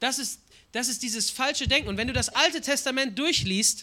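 An extremely high-pitched man's voice, raised and projected, bright and sharp in tone, with lively intonation on a very clean recording with a silent background. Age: 20s. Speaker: guest preacher. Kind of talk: sermon.

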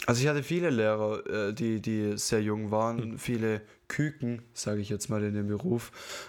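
With an unremarkable speaking voice, this man keeps a medium pitch, ordinary pitch variation and a fairly slow pace. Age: 20s. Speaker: podcast co-host. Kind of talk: casual chat.

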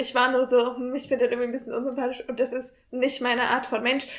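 Her pitch sits high. The woman talks at a very fast pace. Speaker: university student. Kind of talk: casual chat. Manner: soft-spoken.

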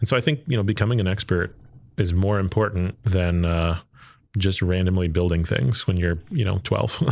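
With an American accent, a man speaks at a moderate pace in a very deep, low pitch, with ordinary pitch variation and very even loudness. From Texas, Arlington. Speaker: engineer and entrepreneur. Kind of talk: interview.

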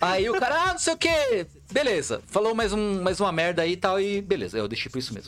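Amid noticeable background noise, a man talks at a fairly quick pace in a high pitch with very wide pitch swings. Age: 30s. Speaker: content creator. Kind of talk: casual chat.

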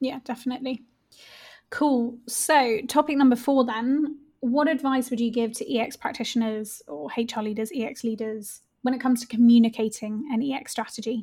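At a moderate pace, a woman speaks in a dark, mellow tone with a high pitch and ordinary pitch variation. The recording is very clean, with a silent background. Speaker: podcast co-host, self-employed researcher. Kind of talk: casual podcast conversation.

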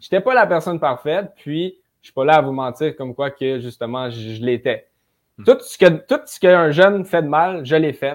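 In a very clean recording with a silent background, a man with a fairly high voice sounds energetic, his intonation lively and his loudness swinging widely. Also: moderate pace. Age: 20s. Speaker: young real estate investor. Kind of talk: casual interview chat.

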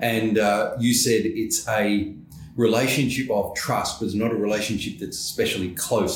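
Against audible room echo, a man speaks at a moderate pace in an Australian accent. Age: 60s. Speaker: podcast host, professional association executive. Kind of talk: interview.

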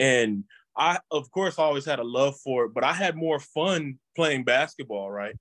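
At a fairly slow pace, a man with an ordinary speaking voice and fairly high pitch talks with lively intonation, in a dry, close sound with no echo. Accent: American. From Texas. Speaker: former college football player. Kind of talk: interview.

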